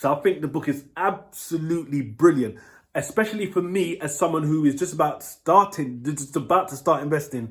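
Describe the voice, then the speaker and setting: A man speaks with a London accent and ordinary pitch variation. His voice is somewhat breathy. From London, England. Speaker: book reviewer. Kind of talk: casual vlog review. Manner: halting, many fillers.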